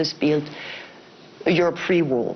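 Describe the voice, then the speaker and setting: In a French accent, a woman speaks at a fairly low pitch. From France. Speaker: bank executive. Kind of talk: panel discussion.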